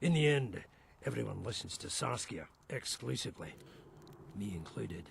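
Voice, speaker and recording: Putting on a character voice, a raspy man with a fairly low pitch talks at a moderate pace, his pitch swinging very widely between long, frequent pauses. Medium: video game. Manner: blunt, sardonic.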